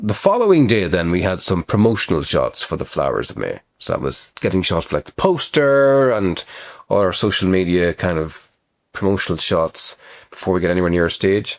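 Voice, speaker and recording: With an Irish accent, a man talks at a fairly quick pace. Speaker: actor and writer. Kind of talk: casual talk to camera.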